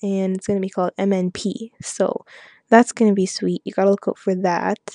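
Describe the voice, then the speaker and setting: Speaking at a fairly quick pace with a Canadian accent, a woman's dark, mellow voice stays monotone and flat, recorded dry and close with no echo against a quiet background. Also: medium pitch for a woman. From Canada, Saskatchewan. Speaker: hip-hop blogger. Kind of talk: interview monologue. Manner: casual, many fillers.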